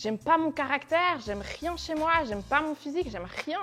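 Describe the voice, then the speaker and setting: Loud and lively in intonation, a woman speaks at a high pitch. Her pace is moderate. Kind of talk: testimony. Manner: casual, conversational.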